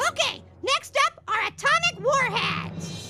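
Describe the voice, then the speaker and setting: A cartoonish character voice speaks at a fairly slow pace. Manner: casual, upbeat.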